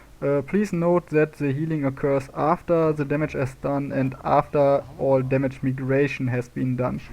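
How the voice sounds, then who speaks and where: With fairly even intonation, a man talks in a fairly high voice. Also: moderate pace. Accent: non-native. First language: not English. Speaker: gaming video creator. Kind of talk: tutorial. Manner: halting, many fillers.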